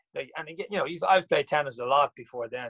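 Someone talks very fast with an Irish accent and ordinary pitch variation, the sound dry and close with no echo. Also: man. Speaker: former professional tennis player. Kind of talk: interview. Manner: halting.

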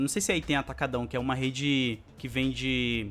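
Very clean recording, silent background, with a man's voice. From Brazil, São Paulo (born in Alagoas, moved at 3). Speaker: YouTuber. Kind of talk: casual interview chat.

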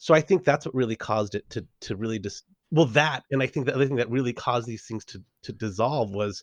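Speaking at a very fast pace in a Californian accent, a man with a medium pitch and ordinary pitch variation is heard in a dry, close recording with no echo and a quiet background. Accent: Californian American. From Southern California. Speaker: improv coach and PhD student. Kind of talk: casual interview chat.

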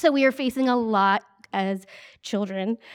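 Someone speaks with an American accent, the sound dry and close with no echo against a quiet background. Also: woman. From Ohio, US Midwest. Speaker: ministry leader. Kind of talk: sermon.

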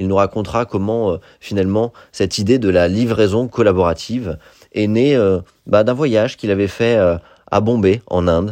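A man's dark, mellow tone, fairly low in pitch, with fairly even intonation at a moderate pace against a quiet background. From Paris. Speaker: podcast host. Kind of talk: scripted narration; interview. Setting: guest's office.

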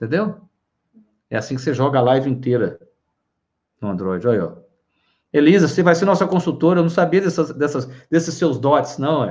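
With vocal fry and lively intonation, a man at a fairly high pitch talks at a fairly quick pace, broken by long, frequent pauses. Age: 50s. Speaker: live-stream host on psychology and wellbeing. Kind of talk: casual live-stream talk.

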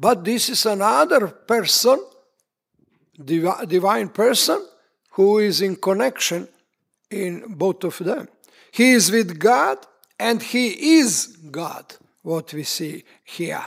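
With a Serbian accent, a man speaks at a high pitch with lively intonation, very slowly and with long, frequent pauses. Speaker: preacher. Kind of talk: sermon. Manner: halting.

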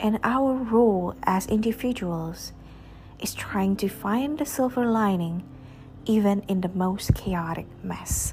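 Against noticeable background noise, a woman with a medium-pitched voice speaks at a very slow pace. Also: ordinary pitch variation. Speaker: podcast host reading poetry. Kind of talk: poem performed, reading aloud of love poems.

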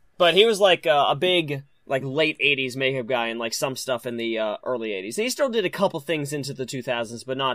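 This man talks at a fairly quick pace. His pitch sits in the medium range. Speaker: podcast host and indie filmmaker. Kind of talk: casual chat. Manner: casual, profane, animated.

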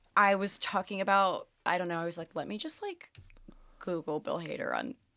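A woman with an American accent talks at a moderate pace on a very clean recording with a silent background. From New Jersey. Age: 20s. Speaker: podcast guest. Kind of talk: casual chat.

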